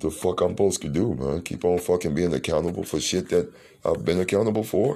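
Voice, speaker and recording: A man at a very fast pace, very deep and low in pitch, with a dark, mellow tone, vocal fry and ordinary pitch variation. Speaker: podcast host. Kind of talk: solo monologue podcast episode.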